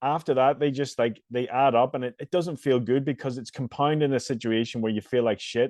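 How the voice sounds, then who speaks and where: This speaker talks at a fairly quick pace with a Northern Irish accent. The intonation stays fairly even, with hardly any pauses. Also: man, medium pitch for a man. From Northern Ireland. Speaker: fitness coach and podcast host. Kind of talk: casual podcast interview.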